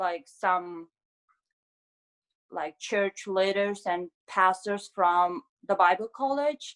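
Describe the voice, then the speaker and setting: A woman with a Mongolian accent speaks at a very slow pace with long, frequent pauses, in a dry, close sound with no echo. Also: medium pitch for a woman, ordinary pitch variation. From Mongolia, Ulaanbaatar. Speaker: graduate student, scholarship recipient. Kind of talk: interview.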